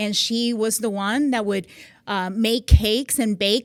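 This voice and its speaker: Her voice sits fairly high in pitch. The recording is very clean, and nothing can be heard in the background. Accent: slight Puerto Rican. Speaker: magazine CEO, military veteran. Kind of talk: podcast interview.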